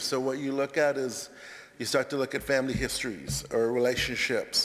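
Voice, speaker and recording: Speaking at a moderate pace, a man has a fairly high voice. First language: not English. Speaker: college counselor. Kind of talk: chapel talk. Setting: church sanctuary. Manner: halting.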